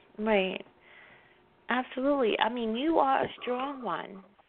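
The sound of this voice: The pitch varies in an ordinary way as a woman talks in a fairly high voice. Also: fairly slow pace.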